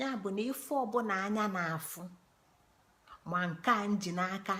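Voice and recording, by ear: A woman speaks at a fairly low pitch and a moderate pace. Her tone is fairly bright, with ordinary pitch variation.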